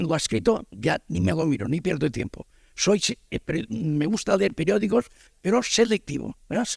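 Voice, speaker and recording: With vocal fry and very wide pitch swings, a man speaks at a fairly high pitch, and the sound is dry and close with no echo. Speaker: audience member. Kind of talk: audience question. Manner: halting, rambling.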